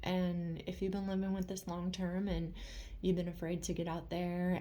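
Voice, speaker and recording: A woman with a fairly low pitch and a dark, mellow tone sounds somewhat breathy, speaking in a monotone, flat intonation with audible room echo. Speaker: vlogger sharing chronic illness experience. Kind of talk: casual vlog monologue. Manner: halting, with fillers.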